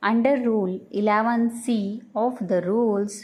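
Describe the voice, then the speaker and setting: A woman with a fairly high pitch speaks at a very slow pace. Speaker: shorthand dictation reader. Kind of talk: dictation reading aloud. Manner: slow, steady dictation pace.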